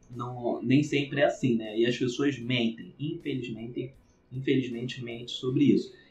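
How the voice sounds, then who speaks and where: A man with a somewhat breathy voice talks at a medium pitch, keeping a moderate pace and fairly even intonation. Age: 30s. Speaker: podcast host and business consultant. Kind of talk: casual interview chat.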